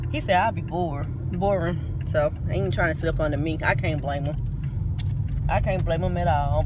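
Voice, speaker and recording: A woman's voice comes through a dry sound with no echo, with noticeable background noise. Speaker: vlogger. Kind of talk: casual vlog chat. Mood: cheerful, playful. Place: car. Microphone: phone near.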